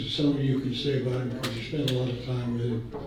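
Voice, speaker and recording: A man speaks with audible echo from the room. Noticeable background noise runs underneath. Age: 90s. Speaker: old friend giving a tribute speech. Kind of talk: birthday party speech. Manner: halting.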